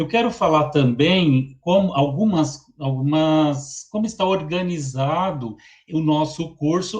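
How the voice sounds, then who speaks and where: A very slow, fairly high-pitched man's voice in a São Paulo accent. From Brazil, São Paulo. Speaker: teacher. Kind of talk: lecture. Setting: online webinar.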